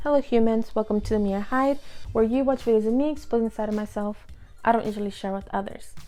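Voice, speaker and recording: A woman talking at a very fast pace, her intonation fairly even, over music in the background. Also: fairly high pitch for a woman. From Inglewood, California. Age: 20s. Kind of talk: casual talk to camera.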